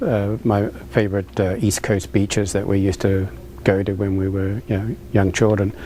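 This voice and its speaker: A man with a New Zealand accent, fairly low in pitch, at a moderate pace with fairly even intonation. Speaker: restaurant owner. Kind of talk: interview. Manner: halting, many fillers.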